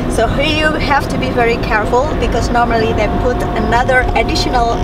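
A woman talks at a moderate pace in a dry sound with no echo. Loud background noise runs underneath. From Indonesia. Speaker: vlogger. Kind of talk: casual talk to camera while driving. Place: car. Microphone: camera far.

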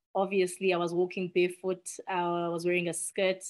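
Against a quiet background, a woman with a South African accent speaks at a moderate pace in a monotone, flat delivery. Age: 30s. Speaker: nonprofit executive director. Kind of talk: podcast interview. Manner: earnest. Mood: reflective, personal. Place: home room. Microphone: video call.

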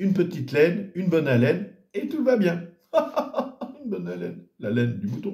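A somewhat breathy, dark, mellow voice at a moderate pace, with audible room echo over a quiet background. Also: man. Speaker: storyteller or entertainer announcing events. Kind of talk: casual vlog chat. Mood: jovial, joking. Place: home room. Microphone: phone near.

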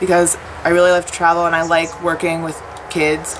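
Fairly quick speech in an American accent over noticeable background noise. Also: woman. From Washington, D.C., US. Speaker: volunteer teacher. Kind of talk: interview testimony; interview answer. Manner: casual, many fillers. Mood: warm, reflective.

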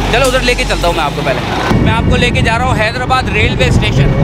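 A man speaks with loud music in the background. The sound is dry with no echo. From Hyderabad, Sindh, Pakistan. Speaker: travel vlogger. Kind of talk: casual travel vlog talk to camera. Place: street. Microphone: phone near.

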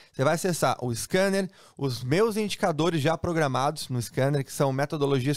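Upbeat in tone, a man with a Brazilian accent talks at a fairly quick pace in a fairly high pitch with ordinary pitch variation, the sound dry with no echo and the background quiet. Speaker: sports betting trainer and tool seller. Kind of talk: sales pitch. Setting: online video to camera. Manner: fast, upbeat, persuasive hard-sell; repeats phrases for emphasis, familiar tone. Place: home room.

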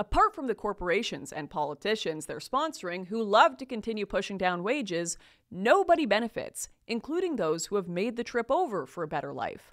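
Against a quiet background, a woman with a Canadian accent talks at a fairly quick pace in an animated tone, with very wide pitch swings. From Canada. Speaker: commentator. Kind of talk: opinionated monologue to camera. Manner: animated, sarcastic. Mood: indignant, critical. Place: studio. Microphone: studio mic.

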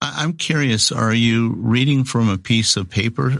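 With a quiet background, a man uses a normal speaking voice at a medium pitch and a moderate pace, with ordinary pitch variation. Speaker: voice actor. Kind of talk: interview answer.

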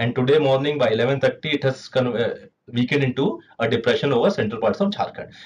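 A man with an Indian accent, fairly high pitch, very fast pace, very even loudness and ordinary pitch variation. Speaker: meteorologist presenter. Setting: video presentation with slides. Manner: formal, measured, explanatory pace with frequent 'uh' fillers. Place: office.

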